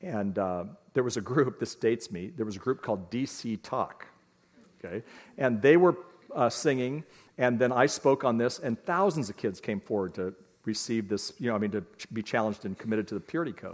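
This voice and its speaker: A man with a plain, everyday voice, medium in pitch, with lively intonation at a fairly quick pace over a quiet background. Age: 60s. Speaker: parenting speaker. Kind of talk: lecture.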